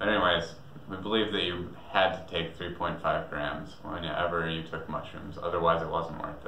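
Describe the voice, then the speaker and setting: A man's very deep, low voice in a flat monotone, with light background noise and audible room echo. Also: moderate pace. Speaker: storyteller vlogger. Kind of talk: casual vlog storytelling. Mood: relaxed, reflective, amused. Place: home room.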